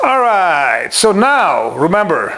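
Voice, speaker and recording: Over noticeable background noise, a man speaks in an animated tone with a high pitch. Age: 60s. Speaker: martial arts instructor. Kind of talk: tutorial.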